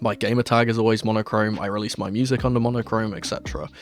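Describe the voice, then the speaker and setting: Music plays in the background while a man talks at a very fast pace. His pitch is fairly low and his intonation fairly even. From London, southwest. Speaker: football fan YouTuber. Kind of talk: Q&A vlog monologue.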